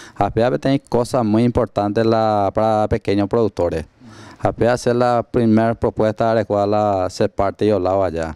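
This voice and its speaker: A man at a moderate pace and fairly low pitch, dark and mellow in tone, with very even loudness, fairly even intonation, a quiet background and a dry sound with no echo. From Paraguay, Canindeyú; Paraguay. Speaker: political candidate, farmer leader; interviewer. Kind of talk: interview. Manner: halting. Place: studio. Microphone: handheld.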